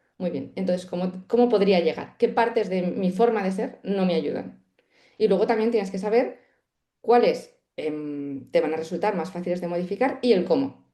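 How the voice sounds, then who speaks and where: A woman's voice sits at medium pitch with a dark, mellow tone and ordinary pitch variation. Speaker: meditation teacher. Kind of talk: podcast interview. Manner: fast; nervous, energetic.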